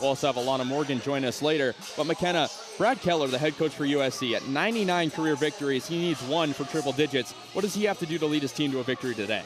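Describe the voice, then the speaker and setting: Very fast speech at a very even loudness, with music in the background. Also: man, fairly high pitch for a man, ordinary pitch variation. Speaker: sports play-by-play announcer. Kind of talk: TV sports broadcast open.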